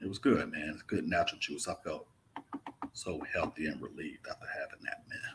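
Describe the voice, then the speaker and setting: A man talks at a fairly quick pace with a Mississippi accent. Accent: Mississippi Southern. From Mississippi, US South. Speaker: travel vlogger. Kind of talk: live stream Q&A chat. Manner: casual, laid-back.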